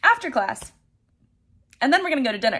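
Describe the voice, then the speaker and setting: A woman against a quiet background. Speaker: vlogger. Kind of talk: casual vlog chat. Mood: excited, nervous before surgery. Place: home room. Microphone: phone near.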